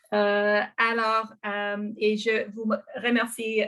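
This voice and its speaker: Her voice sits fairly high in pitch, and she speaks with a non-native accent. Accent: non-native French accent, anglophone. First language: English (speaking French). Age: 40s. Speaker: arts organization co-founder. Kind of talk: presentation in online public meeting. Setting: video call from bedroom. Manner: halting, many hesitations.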